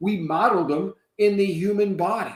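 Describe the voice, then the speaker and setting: With an American accent, a man is speaking. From upstate New York. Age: 60s. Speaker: retired engineer and company founder. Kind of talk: interview.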